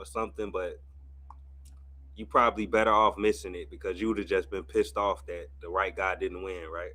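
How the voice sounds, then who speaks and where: With an American accent, a man speaks in a bright, sharp tone, fairly low in pitch, with vocal fry and ordinary pitch variation. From US Midwest, St. Louis. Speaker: streamer and boxing commentator. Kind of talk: casual live watch-party commentary. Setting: livestream.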